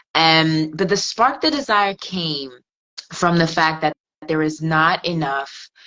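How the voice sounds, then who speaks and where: Speaking at a very slow pace, a woman with an American accent has a fairly low pitch. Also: ordinary pitch variation. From England. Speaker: fashion stylist and network marketer. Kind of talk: interview.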